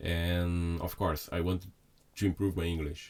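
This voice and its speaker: A man's very deep, low voice with a Brazilian accent, at a moderate pace, in a very clean recording with a silent background. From Brazil (Sao Paulo). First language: Portuguese. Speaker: chef. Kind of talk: casual chat. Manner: halting.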